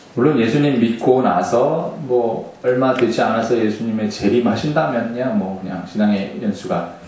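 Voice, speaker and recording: Fairly slow, lively speech from a man at a medium pitch, with noticeable background noise and audible room echo. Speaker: associate pastor. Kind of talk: sermon. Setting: church with microphone system. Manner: usually soft-spoken, hard to hear; trying to speak louder today.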